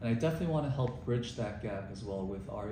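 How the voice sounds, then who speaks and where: A man with a New York accent talks at a very fast pace in a fairly low pitch. Noticeable background noise and audible room echo fill the recording. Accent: New York American. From New York (Bayside, Queens). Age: 30s. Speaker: city council candidate, former prosecutor. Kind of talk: interview.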